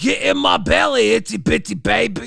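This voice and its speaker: A raspy, put-on character voice from a man, high-pitched, at a moderate pace. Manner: gruff, menacing.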